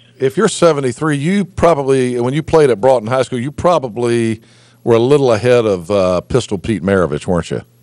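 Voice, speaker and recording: Against a quiet background, a man with an American accent speaks fairly quickly at a medium pitch. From North Carolina. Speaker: talk show host. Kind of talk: interview. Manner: halting, repetitive fillers.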